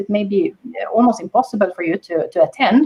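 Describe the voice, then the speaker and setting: A woman is speaking. Her intonation is lively. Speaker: panelist. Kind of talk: panel discussion. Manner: halting.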